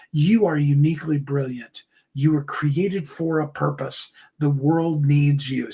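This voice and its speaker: In a put-on character voice at a low-to-middle pitch, the speaker goes at a moderate pace. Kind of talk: polished broadcast. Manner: uplifting, affirming.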